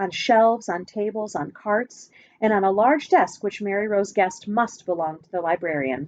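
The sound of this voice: An unforced reading voice, its pitch varying in an ordinary way.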